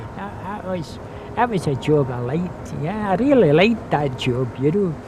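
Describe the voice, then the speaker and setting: In a west of Scotland accent, a man with a fairly high pitch and very wide pitch swings talks at a moderate pace, with audible room echo and noticeable background noise. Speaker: retired factory worker. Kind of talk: interview reminiscence. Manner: halting.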